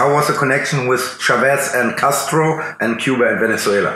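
Talking at a fairly quick pace, a man with a fairly high pitch keeps his intonation fairly even against noticeable background noise. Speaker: interviewer. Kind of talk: interview.

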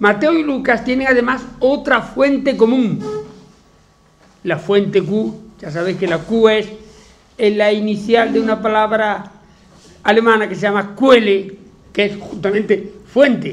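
Pausing long and often, a man talks at a fairly slow pace in a high pitch with ordinary pitch variation. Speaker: teacher giving a talk. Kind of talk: lecture. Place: classroom.

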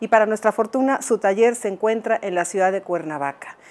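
Her fairly high voice carries lively intonation as this woman speaks. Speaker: art historian and TV presenter. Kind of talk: TV interview. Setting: artist's workshop. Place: workshop. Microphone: lapel.

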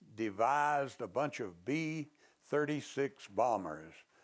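A man talks very slowly, and the background stays quiet. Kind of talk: interview answer. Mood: warm, amused storytelling. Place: office. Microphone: lapel.

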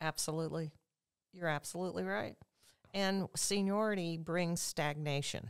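With an American accent and a fairly low pitch, a woman speaks at a moderate pace with ordinary pitch variation and long, frequent pauses over a quiet background. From central Illinois, Sullivan; Illinois. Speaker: political candidate. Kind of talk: interview. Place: studio. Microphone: studio mic.

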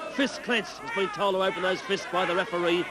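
Over noticeable background noise, a man speaks in an animated tone with a raised, projected voice. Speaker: wrestling commentator. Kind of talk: live wrestling commentary. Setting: television studio broadcast of a match with crowd. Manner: animated, partisan, gasping reactions to the brawl.

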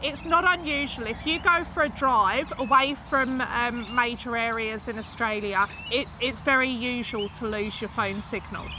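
A woman with an English accent speaks high at a moderate pace, with ordinary pitch variation, hardly any pauses and a dry sound with no echo, against noticeable background noise. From UK. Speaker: YouTuber. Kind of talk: casual chat. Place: garden.

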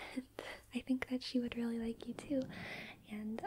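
A soft-spoken woman's flat, monotone delivery amid noticeable background noise. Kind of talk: soft-spoken roleplay monologue. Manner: soft, close ASMR murmur. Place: home room.

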